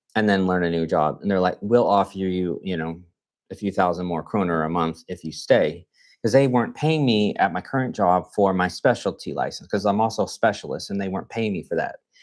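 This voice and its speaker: The speaker has a Texan accent and ordinary pitch variation. The pace is fairly quick, and the recording is very clean with a silent background. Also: man, fairly low pitch for a man. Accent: Texan American English. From Texas, Fort Worth. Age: 40s. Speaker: nurse. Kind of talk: live stream Q&A chat. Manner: casual, conversational with fillers.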